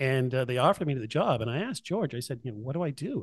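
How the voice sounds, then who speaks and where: A man's fairly high, somewhat breathy voice, with ordinary pitch variation and a fairly quick pace. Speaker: high school music teacher. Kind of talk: casual interview chat.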